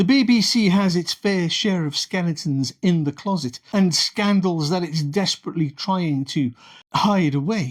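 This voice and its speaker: Recorded very cleanly against a silent background, a man speaks with a British accent and a high pitch. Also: lively intonation, moderate pace. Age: 60s. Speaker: political commentator. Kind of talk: opinion monologue. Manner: sarcastic.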